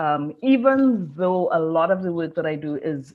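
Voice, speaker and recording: A fairly slow delivery in a Caribbean accent. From Trinidad and Tobago. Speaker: design professor. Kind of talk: conference interview.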